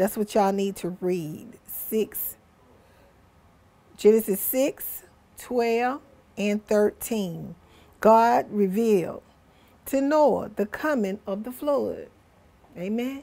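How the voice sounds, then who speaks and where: A woman talks at a very slow pace with long, frequent pauses. Her fairly high voice has a dark, mellow tone. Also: ordinary pitch variation. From Georgia, US South. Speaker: preacher. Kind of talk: sermon. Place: studio. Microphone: lapel.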